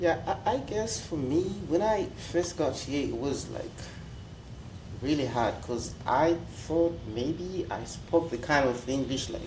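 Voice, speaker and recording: Over audible room echo, a man with a strong Zimbabwean accent talks at a fairly slow pace with long, frequent pauses, using a fairly high pitch and lively intonation. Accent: Zimbabwean, strong rolled R. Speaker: international student. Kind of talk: panel discussion.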